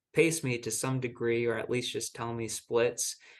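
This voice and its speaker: A man with a plain, everyday voice, medium pitch and fairly even intonation. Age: 20s. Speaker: marathon runner. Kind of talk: interview answer.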